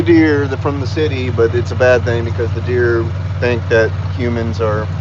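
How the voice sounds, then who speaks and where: A man with an American accent at a fairly quick pace, with audible room echo and noticeable background noise. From Texas. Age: 40s. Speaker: live streamer. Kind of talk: casual live stream chat. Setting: outdoors on a golf course.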